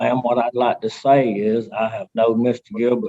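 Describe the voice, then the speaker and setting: Fairly even intonation marks this man's delivery, in an Alabama accent. His tone is dark and mellow. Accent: Southern US (Alabama). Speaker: resident speaking in favor. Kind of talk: public comment at council meeting. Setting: teleconference.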